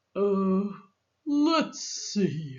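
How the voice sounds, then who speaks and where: A woman performs a put-on character voice. Her pitch is medium but swings very widely. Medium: read story. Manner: slow, grumbling.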